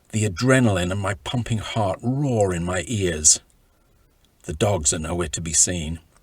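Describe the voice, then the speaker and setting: A man's very deep, low, somewhat breathy voice at a moderate pace, with ordinary pitch variation. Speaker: author reading from his own book. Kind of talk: audiobook-style reading of own travel memoir.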